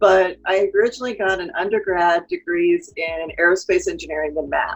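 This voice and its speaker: Music plays in the background. A woman speaks over it at a fairly quick pace. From Texas. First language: Spanish. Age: 40s. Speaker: marketing consultant. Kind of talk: interview. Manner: animated.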